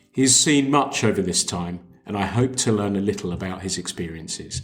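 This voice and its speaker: This man has a normal speaking voice, fairly low in pitch, with ordinary pitch variation and a fairly quick pace. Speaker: podcast host. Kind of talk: podcast interview questions.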